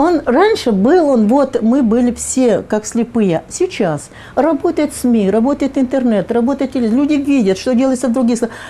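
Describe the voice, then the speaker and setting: A woman's high-pitched voice with very wide pitch swings at a moderate pace, over noticeable background noise. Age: 70s. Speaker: public activist. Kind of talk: interview. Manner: halting, with fillers.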